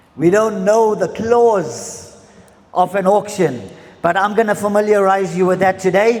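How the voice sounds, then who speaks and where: A man's high voice at a fairly slow pace, very even in loudness, against noticeable background noise. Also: ordinary pitch variation. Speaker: auctioneer. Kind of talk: auction introduction explaining rules and terms to the room.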